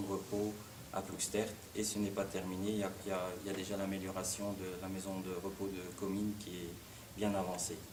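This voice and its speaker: Against noticeable background noise and audible room echo, a man with a fairly low pitch speaks at a moderate pace. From Belgium, Hainaut (Ploegsteert). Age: 60s. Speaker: local politician. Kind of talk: press conference. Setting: conference room with press. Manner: halting, many hesitations.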